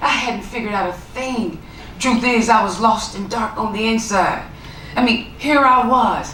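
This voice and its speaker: With an American accent, a woman speaks at a moderate pace in a fairly high pitch and fairly even intonation, with audible room echo and noticeable background noise. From US South, Tennessee (small town). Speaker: author and motivational speaker. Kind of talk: keynote talk.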